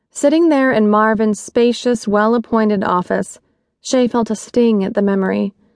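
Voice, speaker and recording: A woman with a normal speaking voice and fairly high pitch talks at a moderate pace. Her loudness is very even, and her pitch varies in an ordinary way. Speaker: audiobook narrator. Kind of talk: audiobook narration of a romance novel. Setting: studio. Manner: measured, expressive storytelling pace.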